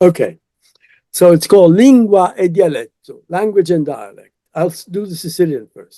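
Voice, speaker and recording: Speaking at a moderate pace, a man has a high pitch, a dark, mellow tone and ordinary pitch variation. His loudness swings widely. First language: Italian. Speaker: retired professor and translator. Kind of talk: interview. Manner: halting.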